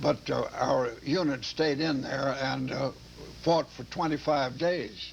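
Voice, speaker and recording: A man's fairly high-pitched voice at a very slow pace, fairly even in intonation, against noticeable background noise. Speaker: war veteran. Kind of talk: interview. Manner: halting.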